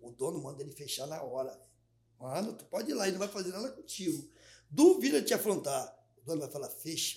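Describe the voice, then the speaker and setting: An unremarkable speaking voice from a man, fairly high in pitch, fairly quick, with lively intonation and big swings in loudness. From Rio de Janeiro, Maré favela. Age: 60s. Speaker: comedian. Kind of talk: casual chat.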